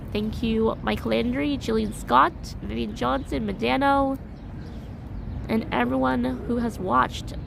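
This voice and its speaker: Noticeable background noise and audible room echo surround a woman with an American accent. She speaks fairly slowly, with long, frequent pauses. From US, New York City. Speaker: vlogger, live streamer. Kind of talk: live stream chat. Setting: outdoors walking downtown.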